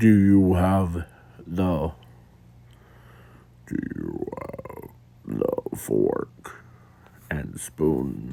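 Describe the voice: A put-on character voice speaks at a very slow pace in a low pitch. Long pauses come often.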